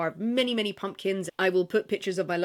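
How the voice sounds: The delivery is a natural reading voice. Its pitch variation is ordinary.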